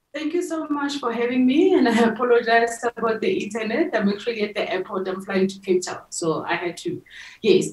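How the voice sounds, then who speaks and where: The speech moves at a fairly quick pace with very wide pitch swings and audible echo from the room. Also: woman, fairly high pitch for a woman. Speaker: tech nonprofit founder and CEO. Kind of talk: interview. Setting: remote call from an airport. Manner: hesitant, many fillers. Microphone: video call.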